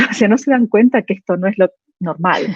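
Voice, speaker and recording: Music plays in the background as a woman speaks at medium pitch. Her voice sounds dry and close, with no echo. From Argentina. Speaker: vascular surgeon. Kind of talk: panel discussion. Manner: halting.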